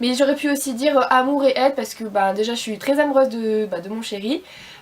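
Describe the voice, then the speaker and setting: Delivered at a very fast pace, the speech has ordinary pitch variation over noticeable background noise. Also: woman. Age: 20s. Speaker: beauty vlogger. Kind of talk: casual vlog talk to camera. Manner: hesitant, many fillers.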